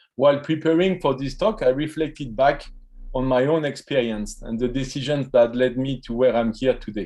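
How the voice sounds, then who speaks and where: This man has a dark, mellow tone and speaks with a French accent. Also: medium pitch for a man, ordinary pitch variation, moderate pace. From France, French Riviera. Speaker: professor. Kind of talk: keynote speech. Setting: virtual event.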